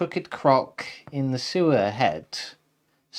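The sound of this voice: It is an unforced reading voice. The background is quiet.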